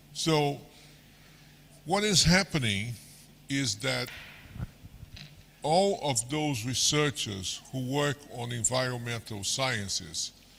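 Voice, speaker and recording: A man speaks very slowly with lively intonation and long, frequent pauses. Noticeable background noise runs behind him. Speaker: senior researcher, keynote speaker. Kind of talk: lecture. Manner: slow, deliberate.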